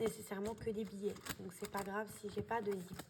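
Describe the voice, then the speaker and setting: A woman's voice at a fairly high pitch. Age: 20s. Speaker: budgeting vlogger. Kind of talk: casual tutorial. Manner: hesitant, many fillers.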